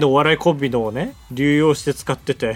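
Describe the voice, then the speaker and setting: A man speaks in a plain, everyday voice, fairly high-pitched and at a fairly quick pace. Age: 20s. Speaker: podcast co-host, comedian. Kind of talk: casual chat.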